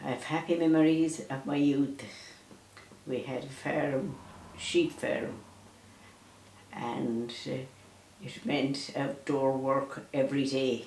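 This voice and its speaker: Speaking at a very slow pace with long, frequent pauses, a woman has a Mayo accent. Her pitch is very deep and low, with fairly even intonation. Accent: Irish, County Mayo. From Ireland. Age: 80s+. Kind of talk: interview answer, life recollections. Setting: at home.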